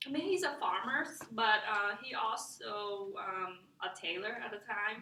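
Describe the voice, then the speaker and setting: In a room with audible echo, a woman with a Vietnamese accent speaks at a very slow pace with lively intonation. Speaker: student. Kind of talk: class presentation. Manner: halting, many fillers.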